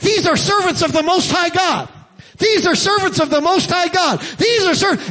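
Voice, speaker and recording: In a put-on character voice, a man talks at a moderate pace, shrill and extremely high in pitch. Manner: repetitive, insistent.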